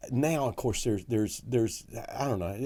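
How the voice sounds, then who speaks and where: A man speaks with a Southern accent in a dark, mellow tone. His pitch variation is ordinary. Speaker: comedy club owner and comedian. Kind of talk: storytelling anecdote.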